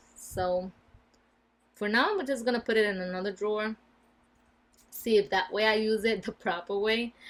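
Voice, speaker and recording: A woman with a Spanish accent, medium in pitch, at a moderate pace, in a flat, monotone intonation. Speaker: beauty vlogger. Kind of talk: casual product review. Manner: casual, with fillers.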